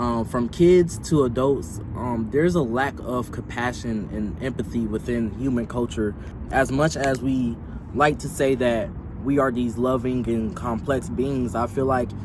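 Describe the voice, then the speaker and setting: Noticeable background noise sits under a man's medium-pitched voice. He speaks at a fairly slow pace with ordinary pitch variation. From US South, Atlanta. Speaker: vlogger. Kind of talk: personal testimony.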